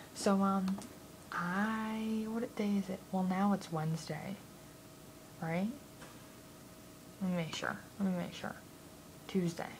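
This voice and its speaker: The voice is quiet and fairly slow, with fairly even intonation. Long, frequent pauses break up the speech over noticeable background noise. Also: woman, medium pitch for a woman. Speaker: vlogger. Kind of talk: casual vlog. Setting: home at night. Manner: quiet, keeping voice down. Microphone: too quiet, very close to the camera.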